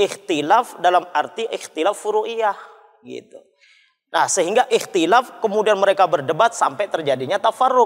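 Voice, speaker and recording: Lively intonation at a moderate pace, against a quiet background. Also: man, high pitch for a man. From Sumenep, Madura, Indonesia. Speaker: mosque manager and preacher. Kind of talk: religious panel discussion. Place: church. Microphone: lapel.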